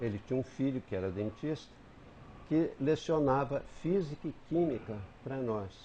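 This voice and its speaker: Pausing long and often, a man speaks at a moderate pace in a somewhat breathy voice with a dark, mellow tone and very wide pitch swings. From southern Minas Gerais, Brazil. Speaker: writer and retired teacher. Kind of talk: TV interview, reminiscing. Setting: TV studio. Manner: halting with self-corrections.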